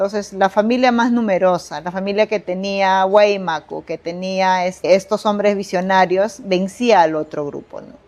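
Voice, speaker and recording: A woman talks at a moderate pace in a medium pitch with fairly even intonation. It is a plain, everyday voice. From Bagua, Amazonas, Peru. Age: 40s. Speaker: poet, storyteller and translator. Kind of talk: interview answer.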